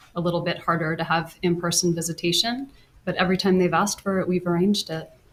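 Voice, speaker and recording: The speaker talks at a very fast pace and sounds somewhat breathy. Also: woman, fairly low pitch for a woman. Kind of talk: courtroom testimony answers.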